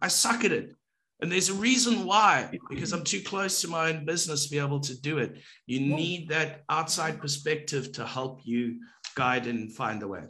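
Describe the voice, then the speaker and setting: With a bright, sharp tone, a man speaks at a fairly high pitch using lively intonation. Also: moderate pace. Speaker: co-host of a business talk show. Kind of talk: casual chat. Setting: video call. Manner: playful, jokey. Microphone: video call.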